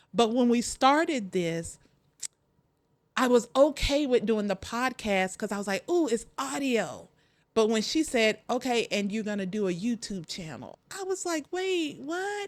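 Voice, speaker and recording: A woman speaks fairly slowly at a high pitch with very wide pitch swings. The recording is very clean with a silent background. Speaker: podcast host, life coach. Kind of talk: motivational podcast talk. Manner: animated.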